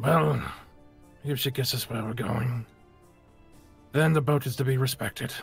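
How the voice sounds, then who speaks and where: A man in a put-on character voice at medium pitch, moderate pace with long, frequent pauses, ordinary pitch variation and faint music in the background. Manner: dry, laconic.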